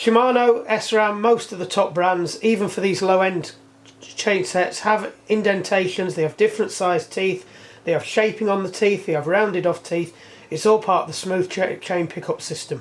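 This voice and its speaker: The voice carries an English accent and keeps a moderate pace. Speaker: bike mechanic. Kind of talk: workshop tutorial. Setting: workshop. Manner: loud.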